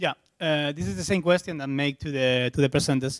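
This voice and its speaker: A man with a Spanish accent speaks with lively intonation at a fairly high pitch. The recording is very clean and dry, close with no echo, with a silent background. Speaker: software developer, conference speaker. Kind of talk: tech conference talk Q&A. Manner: halting.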